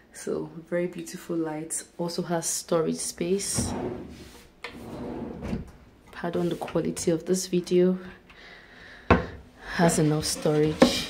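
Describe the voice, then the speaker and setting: A woman at a very slow pace, with long, frequent pauses and loud background noise. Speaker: vlogger touring an apartment. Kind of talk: casual vlog chat. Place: bathroom. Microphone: phone near.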